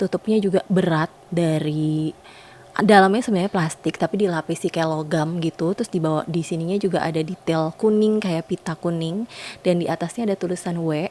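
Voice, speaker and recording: A woman with a fairly low pitch speaks very fast, her intonation fairly even. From Indonesia. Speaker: perfume reviewer, YouTuber. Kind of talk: product review vlog. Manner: casual, many fillers and hesitations.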